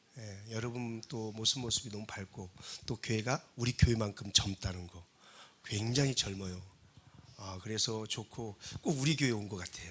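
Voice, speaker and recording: A man speaks at a medium pitch and a moderate pace with ordinary pitch variation. His loudness swings widely. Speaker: guest pastor, revival speaker. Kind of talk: sermon. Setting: church. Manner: usually calm and dignified.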